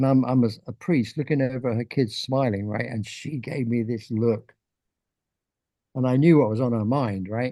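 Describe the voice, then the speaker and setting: Moderately paced man with a dark, mellow tone, medium pitch and an English accent. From England. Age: 80s+. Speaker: artist. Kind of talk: casual chat.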